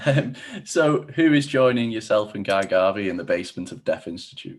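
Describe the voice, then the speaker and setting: A man speaks at a moderate pace with lively intonation in a plain, everyday voice. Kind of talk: podcast host interviewing a guest.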